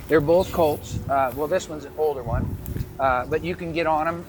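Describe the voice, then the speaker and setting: A man's fairly high voice at a fairly quick pace, fairly even in intonation, over noticeable background noise. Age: 70s. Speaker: animal rescuer and rancher. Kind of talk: interview.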